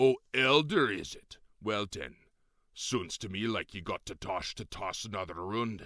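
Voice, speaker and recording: A man's put-on character voice, fairly low, raised and projected, with lively intonation and big swings in loudness, in a very clean recording with a silent background. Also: moderate pace. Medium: read story.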